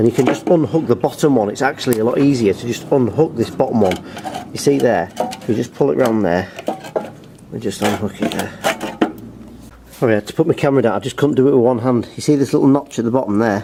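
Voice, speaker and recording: A man at a medium pitch with ordinary pitch variation, a very fast pace and long, frequent pauses, over noticeable background noise. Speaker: lawnmower repair youtuber. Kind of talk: tutorial.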